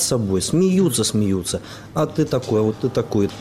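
A man's voice over noticeable background noise. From Belarus. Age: 30s. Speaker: graduate student. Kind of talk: panel discussion.

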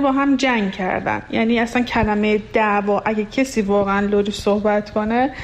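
Someone with a Lorestan accent speaks at a moderate pace over noticeable background noise. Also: woman. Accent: Luri-accented Persian. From Iran, Lur region. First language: Luri (speaking Persian). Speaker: radio listener sharing experience. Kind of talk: personal testimony.

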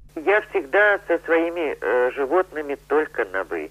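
A woman speaks at a fairly slow pace. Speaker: circus animal trainer. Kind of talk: interview.

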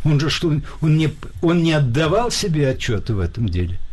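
A man's voice carries audible room echo. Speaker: philosopher and publicist. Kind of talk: radio interview. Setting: studio.

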